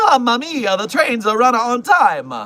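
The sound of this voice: Speaking at a moderate pace, a man uses a put-on character voice pitched extremely high. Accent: Italian.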